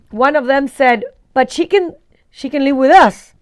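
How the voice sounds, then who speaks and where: A woman with an Argentine accent speaks in a high pitch. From Argentina, Buenos Aires. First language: Spanish. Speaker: vlogger. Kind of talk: casual storytelling. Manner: animated.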